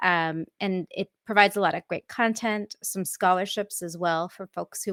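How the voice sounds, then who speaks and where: A woman with an American accent talks at a moderate pace and medium pitch in a monotone, flat intonation, with a dry, close sound, no echo and a very clean recording with a silent background. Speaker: software architect and tech evangelist. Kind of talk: conference talk.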